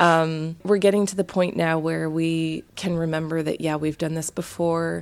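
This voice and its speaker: A woman speaks at a moderate pace with hardly any pauses, her fairly low pitch monotone and flat. The recording is very clean, with a silent background. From Canada. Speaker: international science teacher. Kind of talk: casual chat.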